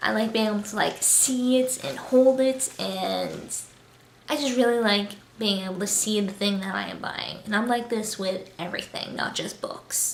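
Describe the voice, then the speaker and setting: A woman speaks quietly at a moderate pace, with a medium pitch and ordinary pitch variation. Noticeable background noise and audible room echo fill the recording. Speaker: booktuber. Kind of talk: casual vlog monologue. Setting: new apartment, home. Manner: quiet, subdued.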